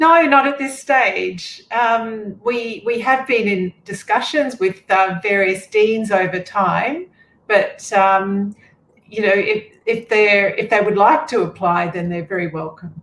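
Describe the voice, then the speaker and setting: In a slight Australian accent, a woman speaks very slowly. Her fairly high voice has lively intonation. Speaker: veterinary accreditation official. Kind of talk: panel Q&A.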